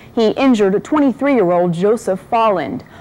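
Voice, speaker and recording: Noticeable background noise runs under the recording. A woman with an American accent and a medium pitch talks at a fairly quick pace. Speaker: TV reporter and news anchor. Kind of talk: news anchor delivery.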